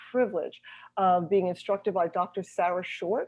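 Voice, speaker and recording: At a fairly quick pace, a woman talks in a plain, everyday voice at a medium pitch. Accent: American. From US Northeast. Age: 60s. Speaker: holistic health coach. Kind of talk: interview.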